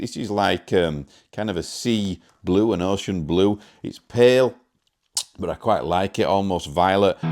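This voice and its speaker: A man in a very clean recording against a silent background. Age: 40s. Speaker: guitar demo YouTuber. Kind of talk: product demo. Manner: casual.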